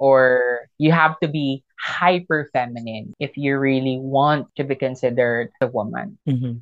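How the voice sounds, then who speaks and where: With a very deep, low pitch, a woman speaks at a fairly slow pace with hardly any pauses and ordinary pitch variation. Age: 30s. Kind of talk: casual interview. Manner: animated.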